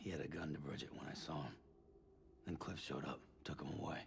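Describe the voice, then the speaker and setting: A man puts on a raspy character voice with a very deep, low pitch at a very fast pace. His loudness stays very even over clear background noise. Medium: video game. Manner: terse, blunt.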